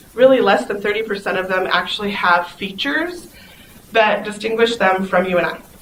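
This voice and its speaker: A woman talks at a fairly quick pace with medium pitch and ordinary pitch variation. Background noise is noticeable. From South Dakota, near Pine Ridge. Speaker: conference speaker, foster mom and nurse. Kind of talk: conference talk. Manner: fast; animated.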